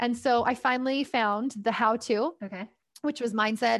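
A woman's fairly even intonation comes through over a quiet background. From Canada. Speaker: parent coach. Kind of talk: casual interview. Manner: hesitant with fillers.

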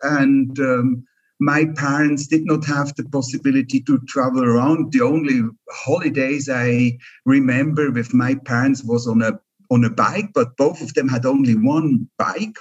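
A man's fairly high voice with a Swiss German accent. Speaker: keynote speaker and former tour guide. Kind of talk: casual chat. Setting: video call.

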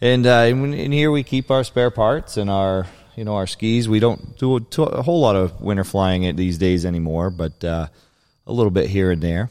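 With an American accent and an ordinary speaking voice, a man of fairly low pitch talks at a fairly quick pace with lively intonation, in a very clean recording with a silent background. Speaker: seaplane pilot and flying service operator. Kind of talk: casual interview. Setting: in a seaplane hangar.

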